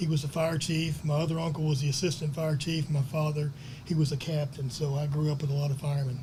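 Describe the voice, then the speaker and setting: A man with a North Texas accent, a fairly high, somewhat breathy voice and a dark, mellow tone, at a very fast pace with monotone, flat intonation and very even loudness, in audible room echo. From Texas, Plano. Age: 60s. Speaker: reunion classmate, lifelong local resident. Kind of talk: personal reminiscence at a reunion panel.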